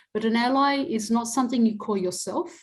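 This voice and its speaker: Speaking in an Australian accent, a woman is heard. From Adelaide, South Australia. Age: 60s. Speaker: academic and activist. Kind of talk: interview.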